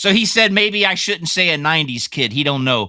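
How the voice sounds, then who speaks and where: A man projects a raised voice with a bright, sharp tone. His intonation is lively and his pace moderate. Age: 50s. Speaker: podcast co-host. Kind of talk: casual chat. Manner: halting.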